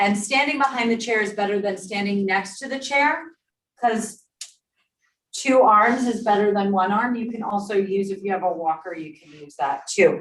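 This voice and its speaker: Audible room echo surrounds a woman speaking at a moderate pace with medium pitch. Her intonation is lively and her loudness swings widely. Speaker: exercise instructor. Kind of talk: exercise class instruction. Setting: in-person class also streamed on Zoom. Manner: clear.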